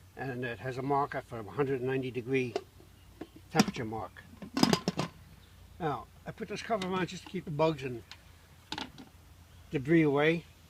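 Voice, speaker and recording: Over noticeable background noise, a man speaks fairly quickly at a fairly high pitch. His intonation is lively, his loudness swings widely, and he takes long, frequent pauses. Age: 80s+. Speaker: hobbyist home distiller. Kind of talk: tutorial. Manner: soft-spoken.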